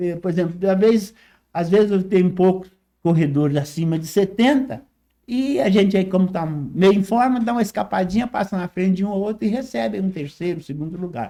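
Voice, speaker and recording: Recorded very cleanly against a silent background, a man speaks in a dark, mellow tone at a high pitch. His intonation is lively and his pace fairly quick. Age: 80s+. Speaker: retired teacher and amateur runner. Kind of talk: interview.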